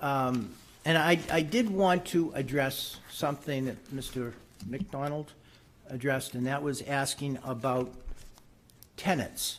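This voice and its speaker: A man uses an ordinary speaking voice, pitched fairly high, with lively intonation. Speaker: public commenter at zoning hearing. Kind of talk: public comment at board meeting.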